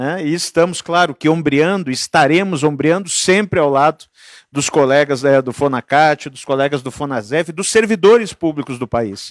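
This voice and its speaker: This man's voice sits at a fairly high pitch with ordinary pitch variation and a moderate pace. His loudness swings widely, and the sound is dry with no echo against a quiet background. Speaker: union president; panelist. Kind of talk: union rally speech. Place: meeting room. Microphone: handheld.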